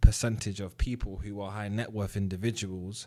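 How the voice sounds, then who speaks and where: A man's fairly low, monotone voice with flat intonation and a British accent, on a very clean recording with a silent background. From UK. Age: 30s. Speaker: trading educator. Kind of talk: casual commentary to camera. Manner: conversational, with fillers.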